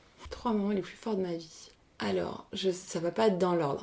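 Speaking at a fairly quick pace with fairly even intonation, a woman has a fairly low pitch and a dark, mellow tone on a very clean recording with a silent background. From Paris region, France. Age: 30s. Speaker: business coach and improv actress. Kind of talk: casual interview chat.

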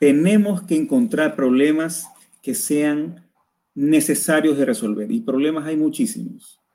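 A man with a fairly high pitch and a dark, mellow tone speaks at a fairly slow pace with lively intonation. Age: 20s. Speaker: university lecturer and entrepreneur. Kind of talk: casual interview. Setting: live stream video call.

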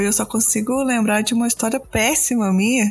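A woman speaks over noticeable background noise. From Brazil, Belo Horizonte. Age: 30s. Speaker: podcast host, guest-hosting this episode. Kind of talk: casual chat.

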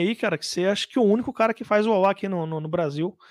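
On a very clean recording with a silent background and a dry, close sound with no echo, a man talks in a high pitch with ordinary pitch variation. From Brazil, mostly Jundiaí area. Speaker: guitar pedal maker. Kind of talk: casual interview.

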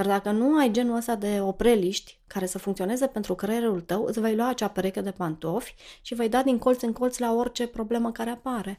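A woman talks at a fairly quick pace with a fairly high pitch and a dark, mellow tone. The recording is very clean, with a silent background. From Romania, Cluj. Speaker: financial educator. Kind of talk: interview conversation.

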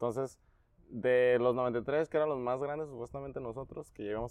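A man with an unremarkable speaking voice talks at a fairly quick pace, medium in pitch and fairly even in intonation. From Tecate, Baja California, Mexico. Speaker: sports coach. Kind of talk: casual interview.

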